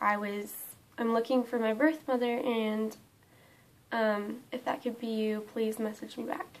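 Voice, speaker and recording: A woman speaks with a fairly high pitch. Her intonation is fairly even. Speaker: vlogger. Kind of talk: personal vlog storytelling. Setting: home, camera propped on window. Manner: hesitant, many fillers.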